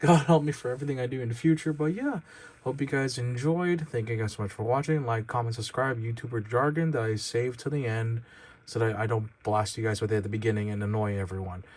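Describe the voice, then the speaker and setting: A man speaks very fast in a somewhat breathy voice with ordinary pitch variation. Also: medium pitch for a man. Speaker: toy reviewer YouTuber. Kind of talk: product review. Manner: halting, stammering; casual, informal.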